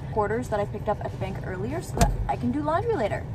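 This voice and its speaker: A woman is speaking. The sound is dry with no echo, and background noise is noticeable. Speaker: vlogger. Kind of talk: casual vlog chat. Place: car. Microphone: phone near.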